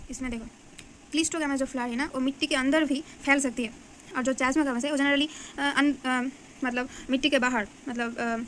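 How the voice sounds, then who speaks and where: A woman's high voice in a Bengali accent, flat and monotone, with long, frequent pauses. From Bengal, India. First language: Bengali (speaking Hindi). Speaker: biology teacher. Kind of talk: tutorial. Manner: halting, many fillers.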